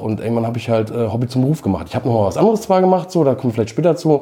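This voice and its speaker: This man talks very fast. His voice sits at a medium pitch. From Schleswig-Holstein, northern Germany. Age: 40s. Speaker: record label owner. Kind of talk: casual interview.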